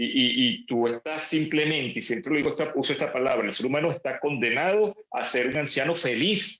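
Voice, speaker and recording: A man with an ordinary speaking voice talks at a fairly quick pace and fairly high pitch, with ordinary pitch variation and hardly any pauses. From Venezuela. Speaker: neuroscience lecturer and speaker. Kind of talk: interview.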